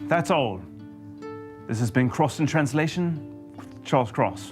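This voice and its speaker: Over music in the background, a man talks with very wide pitch swings and long, frequent pauses. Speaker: podcast host.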